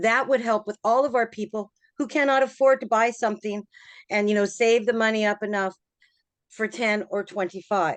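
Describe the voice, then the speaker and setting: An unremarkable speaking voice, moderately paced with fairly even intonation, in a dry, close sound with no echo against a quiet background. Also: woman, fairly high pitch for a woman. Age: 60s. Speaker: resident speaking at public meeting. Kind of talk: public comment at town hall meeting.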